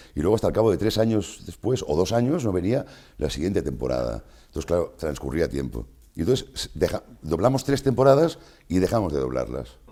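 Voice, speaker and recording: A man's very deep, low, dark and mellow voice with vocal fry, very wide pitch swings and a fairly quick pace. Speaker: voice actor. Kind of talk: interview answer. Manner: casual, conversational.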